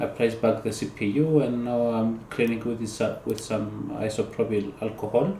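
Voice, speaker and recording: Against noticeable background noise, a man with a non-native accent speaks at a moderate pace and medium pitch, with ordinary pitch variation and hardly any pauses. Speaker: PC repair hobbyist. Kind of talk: tutorial voice-over. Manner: casual, hesitant.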